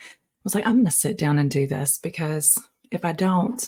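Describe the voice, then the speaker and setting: Whispering at a moderate pace, a woman sounds somewhat breathy. Her delivery stays whispered throughout. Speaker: podcaster. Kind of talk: casual monologue. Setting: home, early morning. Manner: animated.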